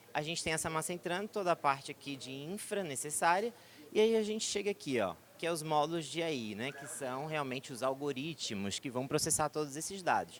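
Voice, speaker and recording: Talking at a fairly quick pace, a man uses lively intonation and a fairly high pitch. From southern Brazil. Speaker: tech company executive. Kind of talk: conference presentation. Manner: hesitant, filler-heavy.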